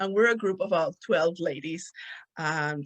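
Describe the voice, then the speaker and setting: A woman with a Spanish accent, medium pitch, and a moderate pace, in a dry, close sound with no echo. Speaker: podcast host. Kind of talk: casual monologue. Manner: animated.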